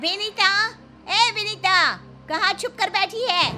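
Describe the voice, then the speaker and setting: Shouting in a put-on character voice at an extremely high pitch, a woman drags out her words at a very slow pace while clear music plays in the background. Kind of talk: Hindi, informal.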